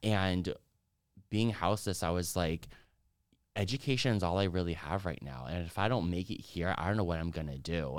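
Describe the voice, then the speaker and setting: A man with an American accent, very deep and low in pitch, fairly quick in pace with long, frequent pauses and ordinary pitch variation, on a very clean recording with a silent background. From California, Mexican American. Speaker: guest, dancer and sociology graduate. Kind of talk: casual chat.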